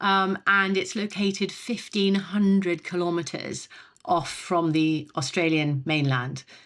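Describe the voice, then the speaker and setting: A woman with a British accent speaks very slowly at a medium pitch. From Britain. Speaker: telecom executive. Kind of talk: podcast interview. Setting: podcast. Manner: halting, many fillers.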